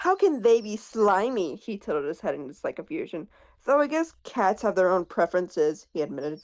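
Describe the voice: This clip is plain reading aloud.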